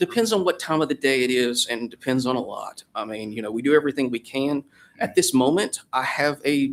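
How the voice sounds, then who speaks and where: Here a man talks at a very fast pace. His pitch is fairly high, with ordinary pitch variation. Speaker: ambulance service operator. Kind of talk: public hearing testimony.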